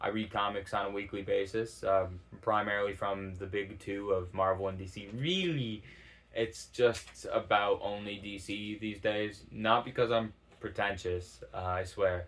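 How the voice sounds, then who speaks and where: Mumbling at a fairly slow pace, a man keeps a fairly low pitch and fairly even intonation. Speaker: YouTuber starting a channel. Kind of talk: casual monologue to camera. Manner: hesitant, many fillers; mumbled enunciation.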